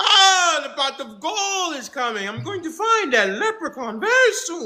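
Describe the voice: A put-on character voice speaks at a high pitch and a moderate pace. Its pitch swings very widely.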